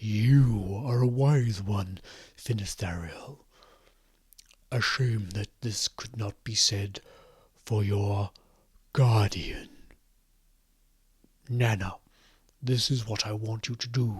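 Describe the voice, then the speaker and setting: A man puts on a booming character voice at a medium pitch. He speaks at a very slow pace. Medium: actual play. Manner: overly polite, menacing.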